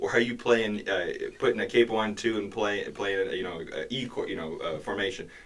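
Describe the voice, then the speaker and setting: With an American accent, a man speaks at a moderate pace. Noticeable background noise is present. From Michigan, Jackson. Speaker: singer-songwriter. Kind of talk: casual chat. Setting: studio. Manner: halting, many fillers.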